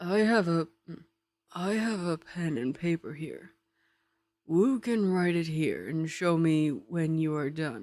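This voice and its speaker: In a put-on character voice at a middle pitch, the speaker goes at a fairly slow pace with long, frequent pauses. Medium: read story.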